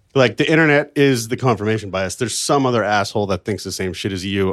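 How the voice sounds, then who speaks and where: On a very clean recording with a silent background, a man with a normal speaking voice talks at a fairly low pitch with ordinary pitch variation. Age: 30s. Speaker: podcast guest. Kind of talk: casual chat. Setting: host's apartment.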